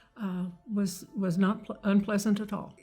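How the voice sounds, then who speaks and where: Over background music, a woman speaks with an American accent. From Kentucky. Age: 80s+. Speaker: hearing aid patient. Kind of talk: interview answer.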